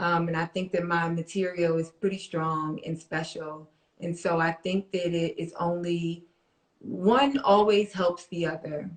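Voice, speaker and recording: A woman speaks with an American accent. She has an ordinary speaking voice and ordinary pitch variation. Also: fairly low pitch for a woman, fairly slow pace. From Harlem, New York. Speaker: stand-up comedian. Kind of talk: interview answer.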